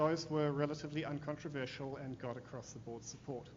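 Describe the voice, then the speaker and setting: Over noticeable background noise and audible room echo, a man with a New Zealand accent speaks at a moderate pace in a fairly high pitch, his intonation flat and monotone. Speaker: corporate affairs manager, panelist. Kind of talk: conference panel talk. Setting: law school conference with audience.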